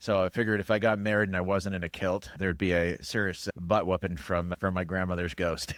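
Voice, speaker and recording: A man speaks at a fairly quick pace with a very deep, low pitch and monotone, flat intonation. The sound is dry and close, with no echo. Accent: General American. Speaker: cybersecurity expert and musician. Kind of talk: casual interview.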